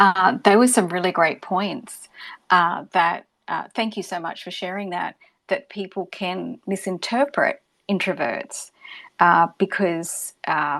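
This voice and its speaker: Very slowly and with big swings in loudness, a woman in an Australian accent speaks at medium pitch with ordinary pitch variation, in a very clean recording with a silent background. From Australia, Gold Coast. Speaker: podcast host. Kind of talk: live audio room moderation.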